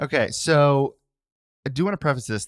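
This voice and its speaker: A man at medium pitch speaks in a plain, everyday voice with lively intonation. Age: 30s. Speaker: podcast co-host. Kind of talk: casual chat.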